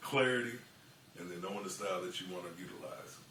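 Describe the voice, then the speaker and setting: With noticeable background noise, a man with an American accent speaks at a fairly quick pace and with fairly even intonation. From Kansas City, Missouri. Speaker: auctioneer. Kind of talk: casual talk to camera, tutorial.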